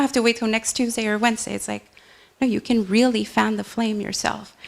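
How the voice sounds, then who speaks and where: A woman with a non-native accent and a fairly high pitch. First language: not English. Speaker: meditation teacher. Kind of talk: casual sharing in a spiritual group. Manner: casual, hesitant.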